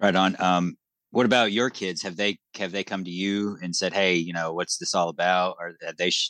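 A man with an American accent, very deep, low pitch and a bright, sharp tone, monotone, flat intonation at a fairly quick pace, dry, close sound with no echo and a quiet background. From New Hampshire, US. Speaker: podcast co-host. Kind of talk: casual interview chat.

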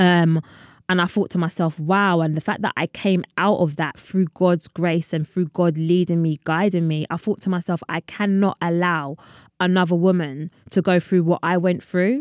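A woman's fairly low voice in a London accent, with fairly even intonation at a moderate pace, in a very clean recording with a silent background and a dry, close sound with no echo. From London, England. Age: 30s. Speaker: podcast host. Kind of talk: casual chat.

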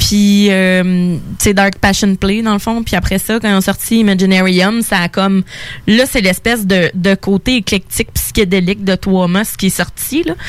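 A woman's medium-pitched voice in a Quebec accent, at a fairly slow pace with fairly even intonation and very even loudness. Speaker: radio co-host and beer columnist. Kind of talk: casual chat.

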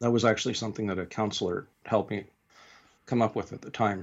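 With a Canadian accent, a man talks at a fairly quick pace. His voice is fairly low. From Western Canada. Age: 50s. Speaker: retired army chaplain, vicar. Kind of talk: interview. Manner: halting.

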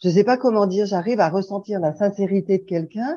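A woman's dark, mellow voice at medium pitch, moderate pace and ordinary pitch variation, with a quiet background. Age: 60s. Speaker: sharing group participant. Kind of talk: group sharing.

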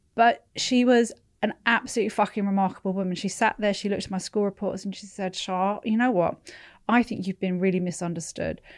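On a very clean recording with a silent background, a woman with a London accent talks with fairly even intonation. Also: medium pitch for a woman. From London, England (born in California, moved at eleven). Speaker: entrepreneur. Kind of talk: casual chat.

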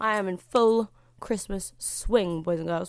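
Ordinary pitch variation comes through in a British accent, recorded very cleanly over a silent background. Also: woman. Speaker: podcast host. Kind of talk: solo monologue podcast. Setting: at home. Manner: loud.

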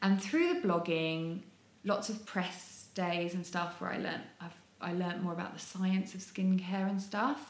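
Amid noticeable background noise and audible room echo, a woman talks at a fairly slow pace with fairly even intonation. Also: medium pitch for a woman. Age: 30s. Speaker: model and skincare trainer. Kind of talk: casual interview chat.

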